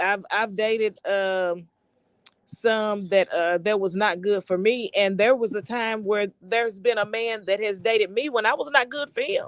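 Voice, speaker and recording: With ordinary pitch variation, a woman talks at a moderate pace. Behind her, the background stays quiet. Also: fairly high pitch for a woman. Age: 40s. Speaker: panel guest. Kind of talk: testimony. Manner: halting.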